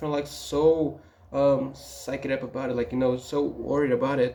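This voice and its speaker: A man speaks with a non-native accent at a fairly high pitch. His pace is moderate, and his pitch varies in an ordinary way. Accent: foreign accent, will never lose it. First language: not English. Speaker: student and vlogger. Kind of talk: casual vlog talk. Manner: halting, many fillers.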